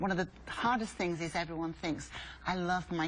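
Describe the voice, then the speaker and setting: A woman with a fairly low pitch and vocal fry, fairly even intonation and a fairly quick pace. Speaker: swim school founder. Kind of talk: tv interview.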